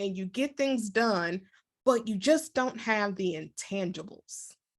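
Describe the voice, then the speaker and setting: With an American accent, a woman has an unremarkable speaking voice, fairly high in pitch with ordinary pitch variation, over a quiet background. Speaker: leadership coach and author. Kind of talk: interview.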